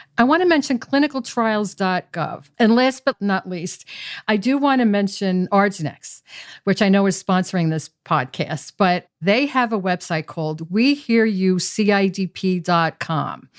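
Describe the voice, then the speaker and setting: A woman speaks at a medium pitch in an ordinary speaking voice, with lively intonation at a fairly slow pace. The sound is dry and close with no echo, on a very clean recording with a silent background. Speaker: patient advocate, former pharmaceutical executive. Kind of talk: interview.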